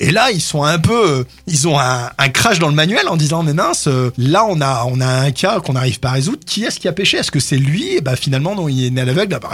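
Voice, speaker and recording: Talking fairly quickly with lively intonation, this man is heard while music plays behind him. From France, Grenoble. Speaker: pastor. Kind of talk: radio interview. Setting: radio studio.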